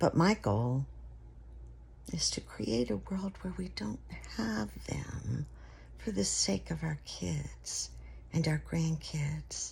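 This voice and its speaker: A woman's very deep, low pitch with very wide pitch swings and vocal fry, at a very slow pace with long, frequent pauses. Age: 70s. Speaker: video blogger. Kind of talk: casual monologue. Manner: halting.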